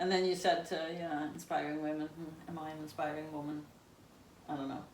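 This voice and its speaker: Noticeable background noise sits behind a woman with a very deep, low pitch. She speaks at a fairly quick pace in a monotone, flat intonation. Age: 50s. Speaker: amateur ultra-marathon runner and photographer. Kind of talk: interview answer.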